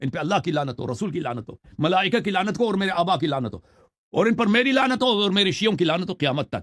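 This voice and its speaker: This man's voice sits at a high pitch and takes a stern tone. His pitch swings very widely. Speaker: Shia religious scholar and YouTuber. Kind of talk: interview answering questions on religion. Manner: harsh, stern tone; stammers on some words.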